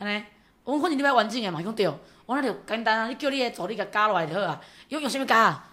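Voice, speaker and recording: Loud and very fast, the voice has a bright, sharp tone and lively intonation. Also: woman, fairly high pitch for a woman. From Taiwan, Yunlin County. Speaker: county councillor. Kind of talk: casual interview chat.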